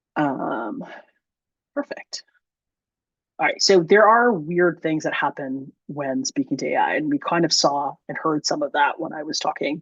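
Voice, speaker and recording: With a dry, close sound and no echo, a woman speaks at a fairly low pitch with very wide pitch swings. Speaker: R developer giving a talk. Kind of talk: technical talk with demo. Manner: many fillers, ums and uhs.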